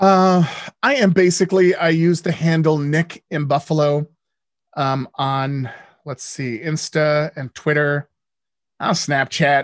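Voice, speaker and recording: A man with a fairly high pitch speaks very slowly, leaving long, frequent pauses, with ordinary pitch variation. The sound is dry and close with no echo over a quiet background. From born in the US, lived in Canada and the Netherlands. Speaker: radio host and DJ, former TV game show host. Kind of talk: casual interview chat. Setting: podcast interview.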